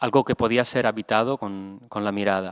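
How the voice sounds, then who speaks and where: Against a quiet background, a man speaks at a fairly low pitch with fairly even intonation. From Italy. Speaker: photographer. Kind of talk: lecture. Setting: stage with audience. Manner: halting. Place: hall. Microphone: podium.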